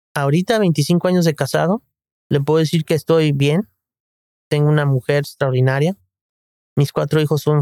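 A man with a fairly high pitch and a dark, mellow tone speaks at a moderate pace with long, frequent pauses, ordinary pitch variation and very even loudness, in a dry, close sound with no echo. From Guadalajara, Mexico. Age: 50s. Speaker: general practitioner. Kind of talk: interview.

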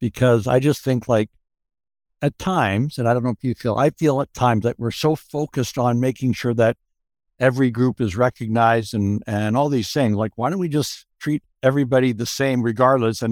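A man talks in an unremarkable speaking voice at medium pitch with ordinary pitch variation. The sound is dry and close, with no echo. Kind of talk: group discussion. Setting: video call.

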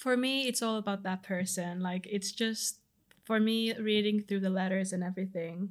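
This woman keeps a moderate pace. Her pitch is medium, and her intonation is fairly even. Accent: Finnish. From Finland. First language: Finnish. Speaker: law student volunteer. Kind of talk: interview.

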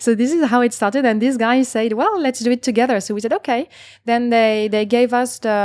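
The speaker has a French accent, and the recording is very clean with a silent background. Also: woman. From France, Paris. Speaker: startup co-founder. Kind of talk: panel discussion.

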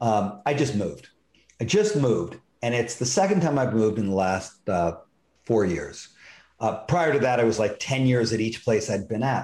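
An ordinary speaking voice belongs to this man, who talks at a moderate pace with an American accent, medium pitch and ordinary pitch variation. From US West Coast. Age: 40s. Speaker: computer consultant and life coach. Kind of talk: interview. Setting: video call.

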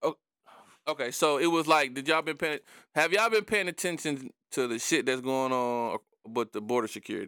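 Speaking at a fairly quick pace with lively intonation, a man with a fairly high pitch and a bright, sharp tone comes through on a very clean recording with a silent background, the sound dry and close with no echo. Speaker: podcast host. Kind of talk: casual chat.

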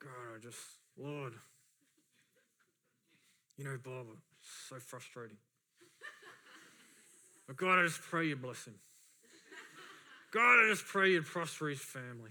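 In a strained, put-on character voice of low-to-middle pitch, the speaker goes at a moderate pace. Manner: strained, insincere prayer through clenched teeth.

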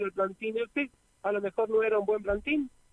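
Here a man speaks with a high voice and ordinary pitch variation. The sound is dry and close, with no echo. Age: 60s. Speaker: yerba mate farmer. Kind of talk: radio interview.

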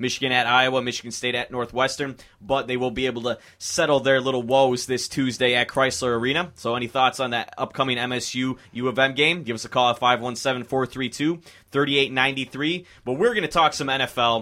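A man's bright, sharp, upbeat and energetic voice at medium pitch, delivered at a very fast pace. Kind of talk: college radio sports talk show, live DJ patter with station IDs and phone-line plugs. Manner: upbeat, breezy, chatty, energetic broadcaster delivery.

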